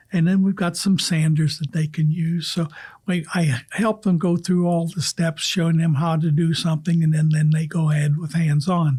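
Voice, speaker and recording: In a very clean recording with a silent background, a man with a dark, mellow tone and fairly high pitch speaks at a moderate pace, his loudness very even and his intonation flat and monotone. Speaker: retired woodworking teacher at a senior community. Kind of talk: interview.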